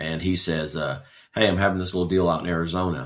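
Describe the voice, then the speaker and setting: A man's very deep, low-pitched voice with an American accent, fairly even intonation and a very fast pace. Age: 60s. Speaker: retired firefighter. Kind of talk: interview. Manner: halting, many fillers.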